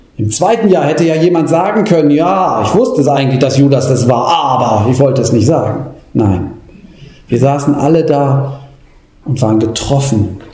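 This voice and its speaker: Noticeable background noise sits under a man with a fairly high pitch and lively intonation. His loudness stays very even, and his pace is moderate. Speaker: preacher. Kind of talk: sermon, preacher in full flow. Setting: church. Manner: impassioned, rhetorical, urgent; rising, pleading delivery with repeated questions.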